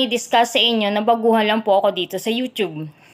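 A woman's voice over a quiet background. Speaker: vlogger. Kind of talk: casual vlog chat. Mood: friendly, smiling. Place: home room. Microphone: phone near.

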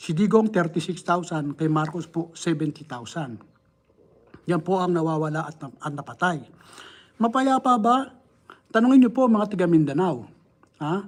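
A man's high voice at a fairly slow pace, with lively intonation and long, frequent pauses. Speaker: political commentator. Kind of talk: political commentary livestream. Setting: live stream. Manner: animated, rhetorical.

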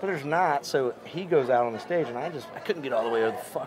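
Over crowd noise in the background, a man talks at a very fast pace with ordinary pitch variation. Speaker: comedian. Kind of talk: casual storytelling interview. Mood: amused, laughing storytelling. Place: stage.

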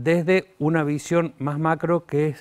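The background stays quiet. A man talks very slowly. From Argentina. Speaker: economics lecturer. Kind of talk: lecture. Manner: halting, many fillers.

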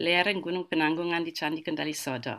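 With a German accent, the voice comes through over a quiet background. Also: woman. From Germany. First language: German (speaking Indonesian). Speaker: art historian; guest. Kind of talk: online lecture. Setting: video call webinar. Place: home room.

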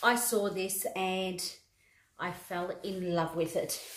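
A woman speaks over light background noise. There is audible room echo. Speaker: fashion haul vlogger. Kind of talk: casual vlog chat. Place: home room. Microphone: phone near.

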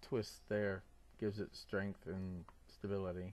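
A man's fairly low, mumbling voice with a dark, mellow tone at a fairly slow pace. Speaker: scale model builder. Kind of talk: casual talk to camera. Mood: calm, content. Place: workshop. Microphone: phone near.

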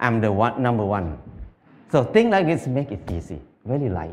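A man talks with a Thai accent. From northeastern Thailand (Isan); Thailand. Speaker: farmer. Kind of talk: talk to audience; public talk. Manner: halting. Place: stage. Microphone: headset.

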